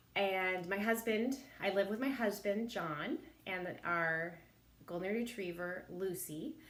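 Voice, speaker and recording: A woman speaks at a medium pitch. Room echo is audible around her. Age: 50s. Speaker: elementary school teacher. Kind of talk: recorded introduction video to parents.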